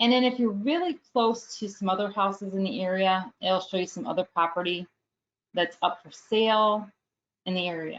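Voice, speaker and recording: A woman speaks in an ordinary speaking voice at a medium pitch and a moderate pace. Her pitch variation is ordinary, but her loudness swings a lot. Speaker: real estate app trainer. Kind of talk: webinar tutorial. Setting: live webinar.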